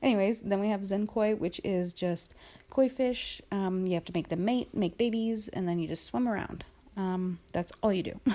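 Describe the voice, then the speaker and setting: A woman's medium-pitched, dark and mellow voice at a moderate pace, with ordinary pitch variation. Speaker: casual YouTuber showing phone apps. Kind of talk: casual voice-memo walkthrough. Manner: loud; casual, many filler ums.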